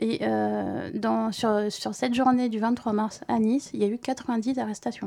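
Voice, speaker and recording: A woman talks at a very slow pace in a dark, mellow tone. Her intonation stays fairly even. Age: 40s. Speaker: civil servant, protest activist. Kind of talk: testimony on community radio. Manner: halting.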